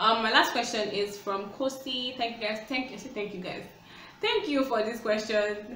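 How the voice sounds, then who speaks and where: Against light background noise and audible room echo, a woman speaks at a fairly high pitch with fairly even intonation. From Nigeria. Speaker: YouTuber. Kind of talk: casual Q&A vlog. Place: home room. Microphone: phone near.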